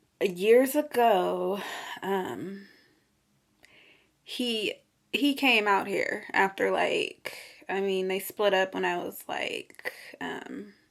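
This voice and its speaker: A woman's very slow speech, full of long, frequent pauses, on a very clean recording with a silent background. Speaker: vlogger. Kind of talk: casual vlog monologue. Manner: many filler 'um's, hesitant.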